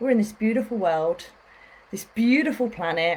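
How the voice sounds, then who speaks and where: A woman's fairly high voice with a British accent and ordinary pitch variation. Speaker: spiritual healer. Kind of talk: facebook live talk. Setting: livestream. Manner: fast.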